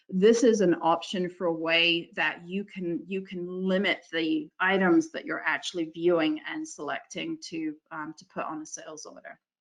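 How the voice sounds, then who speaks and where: A woman with a fairly low pitch speaks at a moderate pace with hardly any pauses, ordinary pitch variation and big swings in loudness. Hers is an unremarkable speaking voice. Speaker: software consultant presenter. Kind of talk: webinar software demo. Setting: online webinar.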